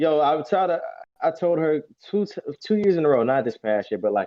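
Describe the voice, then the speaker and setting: A man with an American accent talks in a normal speaking voice. He goes at a fairly quick pace, his intonation lively. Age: 20s. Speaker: bodybuilder. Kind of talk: casual interview.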